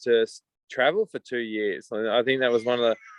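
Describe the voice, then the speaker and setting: A man speaks with an Australian accent. His intonation is monotone and flat. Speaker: coffee company founder. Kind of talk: video call interview. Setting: video call.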